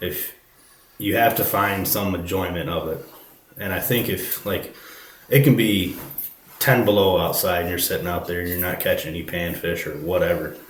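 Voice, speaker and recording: With noticeable background noise and audible room echo, a man with a very deep, low pitch speaks with long, frequent pauses. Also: ordinary pitch variation, moderate pace. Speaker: fisherman. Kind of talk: podcast interview. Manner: halting.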